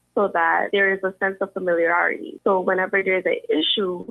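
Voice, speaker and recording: A woman with a Caribbean accent. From US Virgin Islands. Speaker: university student, scholarship recipient. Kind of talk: interview.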